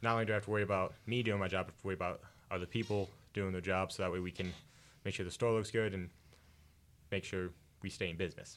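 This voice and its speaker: A man talks at a very fast pace and a fairly low pitch, with long, frequent pauses. His intonation is monotone and flat, on a very clean recording with a silent background. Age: 20s. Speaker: college radio guest. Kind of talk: casual chat. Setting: studio.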